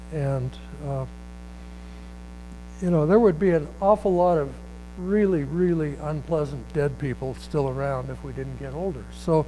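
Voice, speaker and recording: Amid audible room echo, a man talks at a moderate pace with long, frequent pauses and big swings in loudness. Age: 70s. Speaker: writer. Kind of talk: reading aloud; casual chat. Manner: halting.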